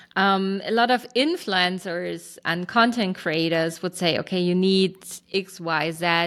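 Speaking at a fairly slow pace with a German accent, a woman is heard on a very clean recording with a silent background. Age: 40s. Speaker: startup founder. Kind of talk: interview.

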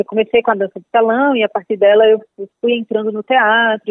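Her pitch is medium. The woman speaks at a fairly quick speed. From Paraíba, Brazil (Northeast). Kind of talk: interview.

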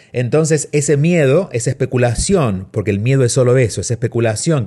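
At a moderate pace, a man speaks at medium pitch with ordinary pitch variation, in a somewhat breathy voice with a dark, mellow tone. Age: 40s. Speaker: radio host and self-help author. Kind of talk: advice radio show. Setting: home studio.

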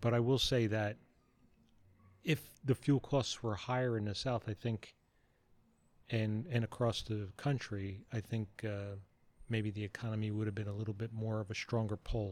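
At a moderate pace, a man with a fairly low pitch and fairly even intonation speaks with long, frequent pauses. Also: very clean recording, silent background. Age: 60s. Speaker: father of the host, political commentator. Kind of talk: casual chat. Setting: outdoors on a back patio.

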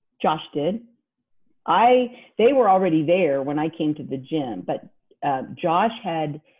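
With an American accent, a woman speaks at a fairly low pitch, with very wide pitch swings. She goes at a fairly slow pace, with long, frequent pauses. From Kansas. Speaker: CrossFit athlete and advocate. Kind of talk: interview.

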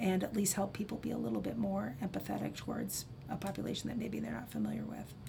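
A woman speaks with a Midwestern American accent, and audible echo fills the room. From US Midwest, Iowa (Cedar Rapids). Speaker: social work professor. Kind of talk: casual interview. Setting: studio.

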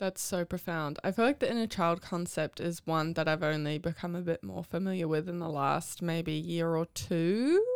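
A woman with a New Zealand accent at a fairly low pitch, with ordinary pitch variation and a moderate pace, over a very clean, silent background. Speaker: podcast host. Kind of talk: interview.

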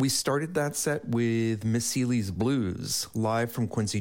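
A man with an ordinary speaking voice at a medium pitch. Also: very clean recording, silent background. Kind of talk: radio DJ patter: station ID, song backannouncing, sign-off. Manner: relaxed, friendly, plainly conversational with a warm welcoming tone; measured and unhurried, with some filler 'uh' pauses.

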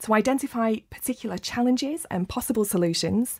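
Somewhat breathy and fairly quick, the voice has lively intonation, recorded very cleanly with a silent background and a dry, close sound with no echo. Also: woman. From Rochdale, northern England. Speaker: podcast host. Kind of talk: podcast interview. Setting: studio.

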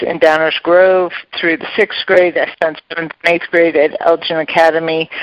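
A woman talks with an American accent at a fairly low pitch. The sound is dry and close, with no echo. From US Midwest, Chicago western suburbs. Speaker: real estate executive. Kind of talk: interview.

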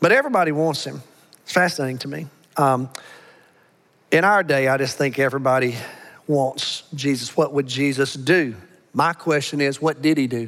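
Speaking with an American accent at a moderate pace, a man uses a fairly high pitch and fairly even intonation, broken by long, frequent pauses. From Alabama. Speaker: pastor. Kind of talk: sermon. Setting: church.

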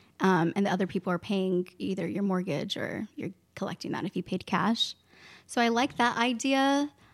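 At a moderate pace and with ordinary pitch variation, a woman speaks in a normal speaking voice, captured in a very clean recording with a silent background and a dry, close sound with no echo. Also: medium pitch for a woman. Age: 20s. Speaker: real estate agent. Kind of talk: casual interview. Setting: in person downtown.

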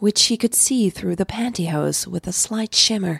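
A woman's medium-pitched voice with vocal fry and a slightly husky edge.

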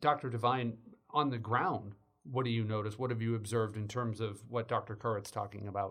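This is a normal speaking voice with fairly even intonation. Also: man, medium pitch for a man. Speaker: podcast host, journalism lecturer. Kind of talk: interview.

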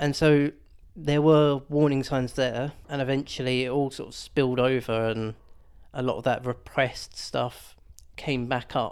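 A man's medium-pitched voice in a southern English accent, fairly slow and fairly even in intonation, in a very clean recording with a silent background. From Hertfordshire, England. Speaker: churchgoer sharing mental health recovery. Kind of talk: testimony.

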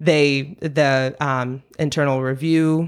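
On a very clean recording with a silent background, a woman with an American accent speaks in a very deep, low pitch and monotone, flat intonation. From Vermont, US (Stowe). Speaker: community activist. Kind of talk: interview.

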